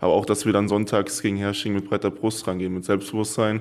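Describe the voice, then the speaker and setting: The recording is very clean and the background silent. It carries a man's fairly low pitch. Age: 20s. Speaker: volleyball player. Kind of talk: interview. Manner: hesitant with fillers.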